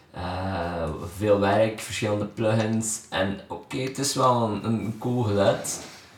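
In a Flemish accent, a man speaks at a very slow pace and a fairly low pitch with fairly even intonation, amid noticeable background noise and audible room echo. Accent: Flemish Dutch. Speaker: podcast host and musician. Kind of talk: casual interview. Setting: guest's home studio.

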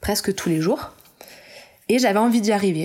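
The recording of this woman is very clean with a silent background, and her pitch moves in an ordinary way. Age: 30s. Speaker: illustrator. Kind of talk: interview. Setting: at home.

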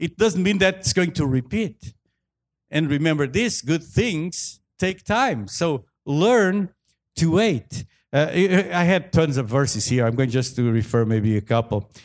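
A man talks at a fairly slow pace in a fairly high voice, his pitch swinging very widely. His loudness stays very even on a very clean recording with a silent background. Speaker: preacher. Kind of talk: sermon. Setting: church with congregation. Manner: halting, with many fillers.

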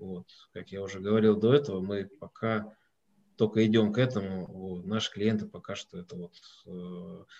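A man talks in an ordinary speaking voice, fairly low in pitch, at a moderate pace with fairly even intonation. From Russia, Moscow. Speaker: company president and owner. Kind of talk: online webinar interview.

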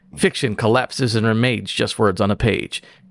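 In a very clean recording with a silent background, a man does a put-on character voice at a medium pitch. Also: moderate pace. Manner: dramatic, narrated.

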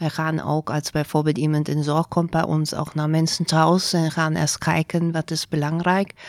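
A woman with a German accent speaks at a moderate pace with hardly any pauses, in a very deep, low pitch and monotone, flat intonation, the sound dry and close with no echo. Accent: German accent in Dutch. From Germany. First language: German (speaking Dutch). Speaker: care organisation director. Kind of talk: interview. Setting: studio, at a table. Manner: halting, many fillers and switches into German.

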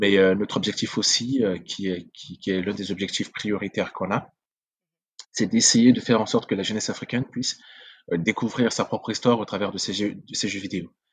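A man's fairly low voice at a fairly quick pace, intonation fairly even, over a quiet background. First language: Sango (speaking French). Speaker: video game entrepreneur. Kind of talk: interview conversation.

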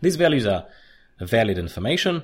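Somewhat breathy, a man speaks at a moderate pace with very wide pitch swings on a very clean recording with a silent background. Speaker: podcast host and agile coach. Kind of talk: solo educational podcast. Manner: hesitant with fillers.

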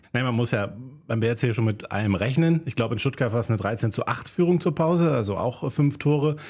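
This man's voice is medium in pitch and somewhat breathy. He talks at a fairly quick pace with lively intonation. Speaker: podcast co-host. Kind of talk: casual chat.

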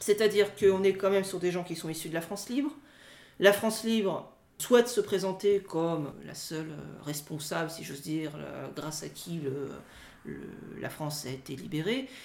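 High-pitched male speech at a moderate pace, with ordinary pitch variation, big swings in loudness and long, frequent pauses. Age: young. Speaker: history teacher and doctoral researcher. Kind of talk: interview. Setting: recorded outside the studio. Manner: halting.

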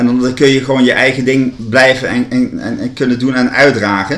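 A man's voice at a fairly quick pace. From Netherlands, Gelderland (Land van Maas en Waal). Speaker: university ceremonial officer. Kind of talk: interview. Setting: at a kitchen table. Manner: halting, many repetitions.

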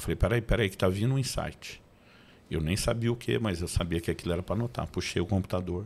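Fairly low-pitched for a man, this voice moves at a fairly quick pace with ordinary pitch variation. It is a normal speaking voice. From Brazil, Campinas (São Paulo). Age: 50s. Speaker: pastor and author. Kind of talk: interview podcast, testimony.

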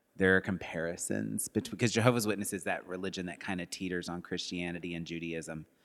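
A man talks at a very fast pace with hardly any pauses, in a very deep, low voice. Vocal fry runs through his speech, with ordinary pitch variation. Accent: American. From Arkansas and Texas, US South. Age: 30s. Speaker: arts education director and former theater worker. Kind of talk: casual interview chat.

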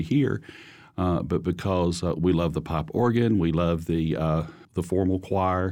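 In a very clean recording with a silent background, a man with an Alabama accent speaks very deep and low at a fairly slow pace, with ordinary pitch variation. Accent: US Southern (Alabama). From Holly Pond, Alabama. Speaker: church choir singer. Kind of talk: interview testimony.

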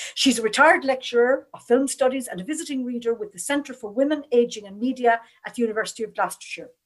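A woman with an Irish accent speaks very fast in a high voice, with hardly any pauses, ordinary pitch variation and big swings in loudness. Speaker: panel chair and moderator. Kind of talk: moderated panel webinar. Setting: online webinar.

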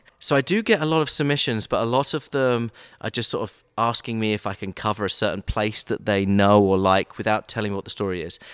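In an American accent, a man with a fairly low pitch talks at a very fast pace with hardly any pauses and ordinary pitch variation. The recording is very clean with a silent background and a dry, close sound with no echo. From England, Brighton. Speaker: TV sports producer and local history creator. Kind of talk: interview.

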